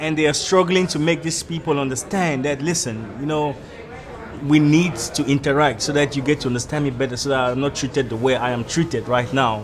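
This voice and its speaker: A man's fairly high voice, with ordinary pitch variation, moves at a fairly quick pace amid audible room echo and noticeable background noise. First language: not English. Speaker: immigrant in South Africa. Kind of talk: street interview discussion.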